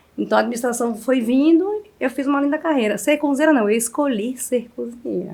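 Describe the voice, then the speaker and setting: In a sertão accent, a woman speaks with a high pitch and lively intonation. Her tone is dark and mellow. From Bahia backlands, Brazil. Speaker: chef. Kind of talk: interview.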